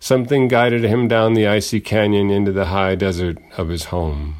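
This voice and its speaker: Here is a man with a very deep, low pitch and ordinary pitch variation. The recording is very clean with a silent background. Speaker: radio host and poet. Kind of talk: dramatic narration, personal essay read aloud. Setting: radio studio. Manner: formal, measured.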